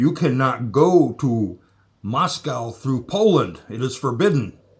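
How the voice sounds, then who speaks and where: A man puts on a character voice. He speaks at a medium pitch and a fairly slow pace. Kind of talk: stern, formal.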